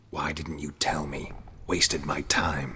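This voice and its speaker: A man's growling put-on character voice, very deep and low, deadpan in tone, at a fairly slow pace. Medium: video game. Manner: terse, deadpan.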